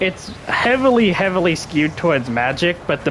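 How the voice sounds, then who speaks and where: Noticeable background noise fills the recording. Over it, a man talks with ordinary pitch variation. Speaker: gaming streamer. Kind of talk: live gameplay commentary. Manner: casual, with frequent fillers and stutters.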